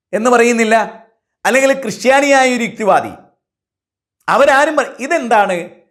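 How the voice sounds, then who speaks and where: A man with an extremely high pitch and ordinary pitch variation talks in a space with audible room echo. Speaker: Islamic preacher. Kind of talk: sermon. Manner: shifts between emotional and calm.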